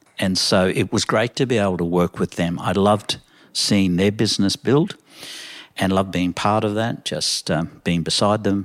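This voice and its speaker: On a very clean recording with a silent background and a dry, close sound with no echo, a man with an Australian accent speaks in a fairly low voice at a moderate pace with fairly even intonation. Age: 70s. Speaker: coffee shop owner. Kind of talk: casual interview.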